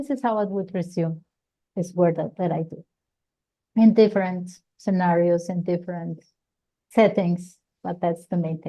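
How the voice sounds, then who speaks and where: Against a quiet background, a woman with a Colombian accent speaks at a moderate pace in a fairly low, dark, mellow voice, with long, frequent pauses. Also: ordinary pitch variation. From Colombia, Bogotá. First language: Spanish. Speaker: psychologist and career counselor. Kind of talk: interview. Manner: halting, with frequent repetitions.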